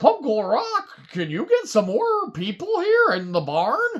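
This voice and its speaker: A cartoonish character voice at a fairly high pitch and fairly slow pace. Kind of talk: children's puppet story time. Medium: puppet.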